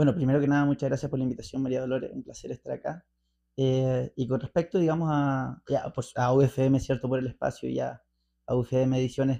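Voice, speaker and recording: In a Chilean accent, a man speaks at a fairly quick pace with a medium pitch, a dark, mellow tone, and fairly even intonation. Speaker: interview guest, libertarian commentator. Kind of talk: radio interview. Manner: fast; hesitant, many fillers.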